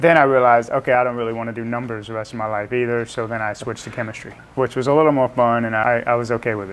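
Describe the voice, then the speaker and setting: With an American accent, a man speaks at a very fast pace in a monotone, flat intonation, with hardly any pauses and noticeable background noise. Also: medium pitch for a man. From US South, South Louisiana (New Orleans area, Cajun). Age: 40s. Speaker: scientist (chemistry PhD), podcast guest.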